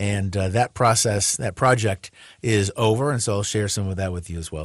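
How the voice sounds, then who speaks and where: Against a quiet background, a somewhat breathy man with a fairly low pitch speaks at a fairly quick pace with ordinary pitch variation. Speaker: radio host. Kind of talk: radio talk show monologue, casual sermon-like. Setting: radio studio broadcast. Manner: conversational; halting, self-correcting.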